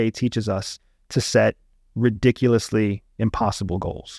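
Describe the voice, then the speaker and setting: With a Pennsylvania accent, a man talks at medium pitch with ordinary pitch variation, in a dry, close sound with no echo. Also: very clean recording, silent background. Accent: American, Pennsylvania. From rural Pennsylvania. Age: 40s. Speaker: former CIA intelligence officer. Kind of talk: casual interview conversation. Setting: studio.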